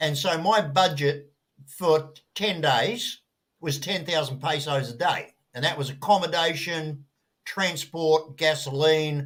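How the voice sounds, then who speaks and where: In an Australian accent, a man talks at a very slow pace, his fairly high voice moving with ordinary pitch variation. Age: 60s. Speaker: traveller sharing experiences. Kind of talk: casual group chat.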